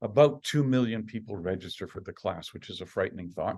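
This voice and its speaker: A man talks at a very fast pace with very wide pitch swings. The background is quiet. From Canada, Saskatchewan (Estevan). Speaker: professor. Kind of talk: lecture.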